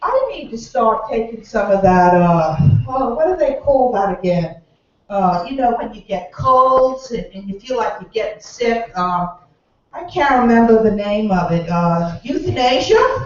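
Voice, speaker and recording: The speaker talks at a fairly slow pace in a Bahamian accent. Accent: Bahamian accent, noticeable. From Bahamas, Nassau. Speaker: comedian. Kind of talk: stand-up.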